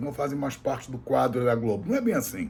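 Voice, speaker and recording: Somewhat breathy, a man with a medium pitch talks at a very fast pace. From Brazil. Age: 60s. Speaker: political commentator. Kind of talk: political commentary monologue. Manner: halting, repetitive.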